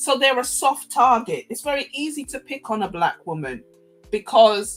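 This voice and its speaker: A woman's lively intonation with music in the background. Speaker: podcast host. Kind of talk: live-stream commentary. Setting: live stream.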